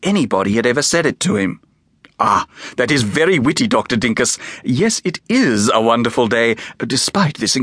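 Someone reads in an unforced reading voice.

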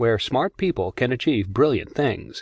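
A man with an unremarkable speaking voice talks at a fairly quick pace and medium pitch, the sound dry and close with no echo against a quiet background. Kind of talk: audiobook narration. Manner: formal; even, measured.

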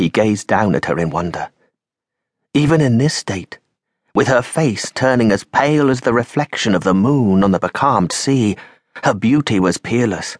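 At a moderate pace, a man with an unremarkable speaking voice and medium pitch uses lively intonation and very even loudness, the sound dry and close with no echo. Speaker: audiobook narrator. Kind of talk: dramatic audiobook narration of a vampire-pirate adventure.

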